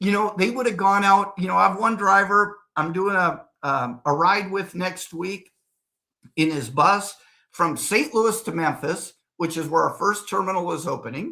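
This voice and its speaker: In a raised, projected voice, a man talks at a moderate pace with high pitch, a bright, sharp tone and ordinary pitch variation. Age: 60s. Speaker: real estate developer. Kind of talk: interview. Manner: animated.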